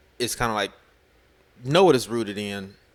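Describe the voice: A man speaks at a fairly quick pace. His pitch is fairly low, and his tone is fairly bright.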